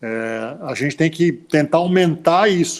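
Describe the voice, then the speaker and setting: His intonation is lively. The man's voice is fairly high. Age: 60s. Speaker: former basketball player. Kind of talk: interview. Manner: halting, many repetitions.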